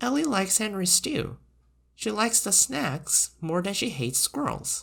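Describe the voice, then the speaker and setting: In a put-on character voice of middle pitch, the speaker makes very wide pitch swings on a very clean recording with a silent background. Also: moderate pace. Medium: read story. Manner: brisk, dry humor.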